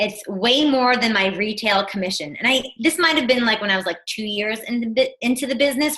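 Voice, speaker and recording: This voice moves at a fairly quick pace with an American accent. Its intonation is lively and its tone bright and sharp. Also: woman. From New Jersey. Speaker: fitness business coach. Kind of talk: online team presentation.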